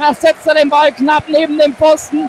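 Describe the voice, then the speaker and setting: At a fairly slow pace, the voice comes through dry with no echo and light background noise. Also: man. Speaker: fan radio commentator. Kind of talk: live sports commentary. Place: stadium.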